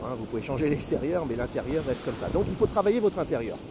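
Noticeable noise sits under the recording. Over it, a man talks very quickly. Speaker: retired career coach, podcaster. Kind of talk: solo podcast monologue. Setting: outdoors, walking on the beach. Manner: halting, many hesitations.

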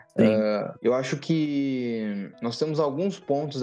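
A man speaks with ordinary pitch variation. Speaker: podcast co-host, lawyer and startup legal firm founder. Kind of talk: casual chat. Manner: animated.

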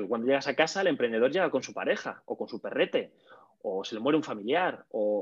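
At a moderate pace, a man speaks in an energetic tone. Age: 30s. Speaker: communication coach and comedian. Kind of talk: casual interview.

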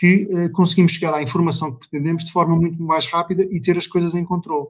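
A man's high-pitched voice at a very fast pace, in a very clean recording with a silent background. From Portugal, Vila Real (Trás-os-Montes). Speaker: family winery owner and IT manager. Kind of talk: casual interview.

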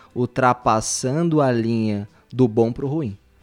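There is music playing behind a man as he talks. His pitch varies in an ordinary way. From Brazil. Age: 30s. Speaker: physiotherapist. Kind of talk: casual podcast chat.

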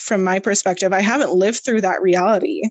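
A woman with a Canadian accent speaks at a medium pitch with ordinary variation. She has a plain, everyday voice. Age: 20s. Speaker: podcast co-host. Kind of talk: casual chat.

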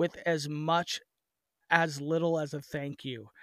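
Recorded dry and close with no echo, a man with an American accent speaks at a fairly high pitch. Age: 30s. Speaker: wrestling promoter. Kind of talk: casual chat. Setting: remote call.

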